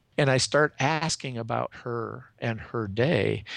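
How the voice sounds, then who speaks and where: A man's medium-pitched voice with vocal fry, on a very clean recording with a silent background. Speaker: executive coach. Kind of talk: interview.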